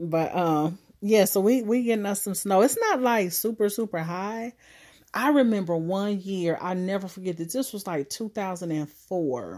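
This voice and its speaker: This woman has a medium pitch and ordinary pitch variation. She sounds animated and talks at a moderate pace. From Ohio, US Midwest. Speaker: podcast host. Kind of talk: casual monologue.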